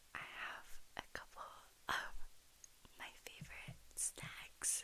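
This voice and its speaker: Whispering, a woman speaks at a very slow pace. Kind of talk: ASMR snack rambling. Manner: soft-spoken.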